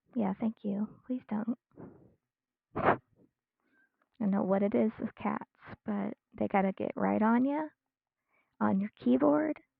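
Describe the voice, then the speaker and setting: A soft-spoken woman with a medium pitch talks at a fairly slow pace, with very wide pitch swings and long, frequent pauses. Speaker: streamer, digital artist. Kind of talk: casual live-stream chat while drawing. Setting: live stream at home. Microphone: quiet mic.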